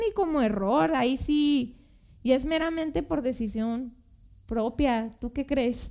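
Talking at a very slow pace, a woman uses a high-pitched voice. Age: 20s. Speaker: podcast guest. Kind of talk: casual chat.

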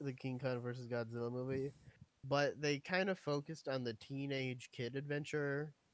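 A man with a normal speaking voice, medium pitch, and fairly even intonation. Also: moderate pace. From US, moved around (Navy family). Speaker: podcast co-host. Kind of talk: casual chat.

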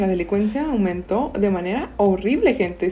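A woman speaks with lively intonation at a fairly high pitch. Noticeable background noise runs under her voice. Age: 20s. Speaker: podcast co-host. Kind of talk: casual chat.

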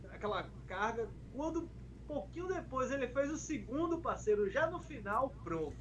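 There is audible room echo and noticeable background noise. A man speaks through it at a moderate pace. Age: 30s. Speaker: pagode musician and internet personality. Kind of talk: casual chat.

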